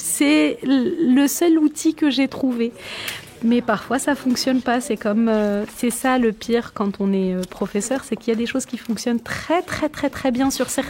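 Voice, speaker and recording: With noticeable background noise around her, a woman with a high pitch speaks at a fairly slow pace and ordinary pitch variation. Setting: classroom teaching.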